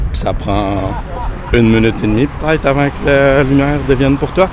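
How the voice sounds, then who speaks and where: At a moderate pace and a medium pitch, a man talks over noticeable background noise. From Quebec. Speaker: travel vlogger. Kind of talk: vlog commentary while walking. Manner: hesitant, many filler sounds.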